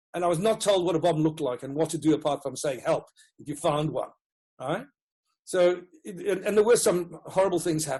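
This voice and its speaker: With a Rhodesian accent, a man talks at a fairly quick pace in a high pitch with a dark, mellow tone. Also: ordinary pitch variation, big swings in loudness. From Rhodesia (Zimbabwe). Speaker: education consultant, former teacher. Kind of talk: interview.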